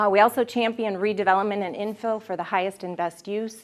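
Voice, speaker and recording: This woman has a medium pitch and fairly even intonation. She talks at a fairly quick pace. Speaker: city economic development staffer. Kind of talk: presentation. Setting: evening class audience. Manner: fast.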